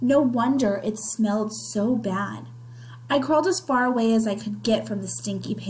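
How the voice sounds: Ordinary pitch movement in a natural reading voice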